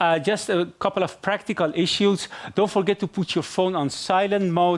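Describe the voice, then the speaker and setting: A man with a Persian accent speaks at a high pitch and a moderate pace. His intonation is fairly even and his loudness very even. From Iran. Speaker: event moderator. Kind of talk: live event moderation. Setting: stage with live audience. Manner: hesitant, many fillers.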